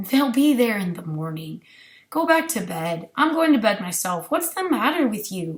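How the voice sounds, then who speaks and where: Raspy and fairly high, a woman's put-on character voice swings very widely in pitch at a moderate pace. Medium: read story. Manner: casual, trying to sound cool.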